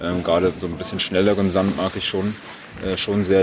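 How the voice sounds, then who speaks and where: There is noticeable background noise behind this man. His pitch is very deep and low, and he talks at a moderate pace. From Berlin, Germany. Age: 20s. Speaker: professional tennis player. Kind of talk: interview.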